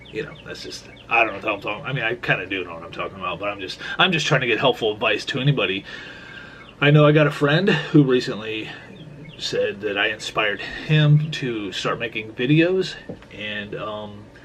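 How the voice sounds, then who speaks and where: A man speaks with lively intonation and big swings in loudness. Noticeable background noise sits behind him. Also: medium pitch for a man, fairly quick pace. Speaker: vlogger. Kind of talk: casual vlog talk. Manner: halting, many repeated words.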